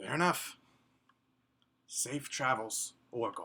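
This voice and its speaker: A put-on character voice, raspy and low-to-middle in pitch, drawls at a very slow pace. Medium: actual play. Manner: resigned, terse.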